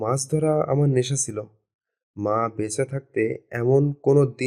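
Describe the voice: Quiet surrounds the voice. It is plain reading aloud, with ordinary pitch variation.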